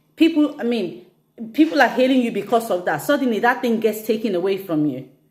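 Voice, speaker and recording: Talking at a fairly quick pace, a woman with a fairly high pitch uses lively intonation in a normal speaking voice. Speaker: fitness instructor. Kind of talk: instagram live talk.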